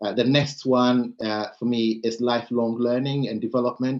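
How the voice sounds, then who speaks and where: A man with a Ghanaian accent. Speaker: panel speaker on leadership. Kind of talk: panel talk. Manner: many filler words and hesitations.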